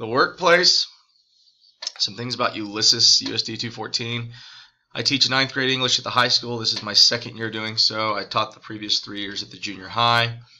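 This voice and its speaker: A normal speaking voice in an American accent, with ordinary pitch variation and big swings in loudness. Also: man, medium pitch for a man, moderate pace. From Texas, US South. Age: 30s. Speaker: high school English teacher. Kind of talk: recorded class introduction video.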